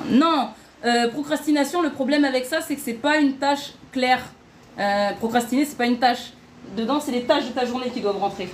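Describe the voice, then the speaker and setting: This woman's voice is high-pitched. Her pitch variation is ordinary. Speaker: online workshop host. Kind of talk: live stream workshop. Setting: live stream. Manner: fast.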